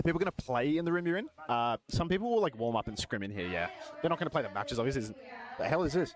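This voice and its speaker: Loud and very fast, a man with an Australian accent talks at a fairly high pitch with very wide pitch swings over noticeable background noise. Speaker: esports co-streamer. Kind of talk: live stream chat. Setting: venue booth behind glass at esports arena.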